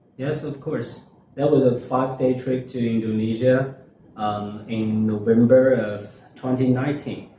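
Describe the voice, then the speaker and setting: Audible room echo surrounds a fairly slow delivery with fairly even intonation. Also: man, medium pitch for a man. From China, Hunan Province. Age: 20s. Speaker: university student. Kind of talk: interview. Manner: halting, many fillers.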